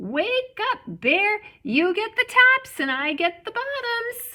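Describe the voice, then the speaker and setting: Using a put-on character voice, a woman speaks squeakily at an extremely high pitch and a fairly slow pace. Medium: read story. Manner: smooth and persuasive.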